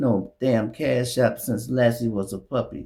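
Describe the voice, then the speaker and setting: Medium pitch from a man, with lively intonation and vocal fry. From Chicago. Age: 60s. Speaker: YouTube commentator. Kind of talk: casual monologue. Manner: animated.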